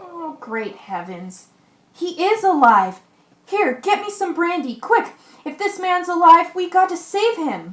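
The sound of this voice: Audible room echo surrounds a put-on character voice that moves at a fairly slow pace with big pitch swings. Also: woman, extremely high pitch for a woman.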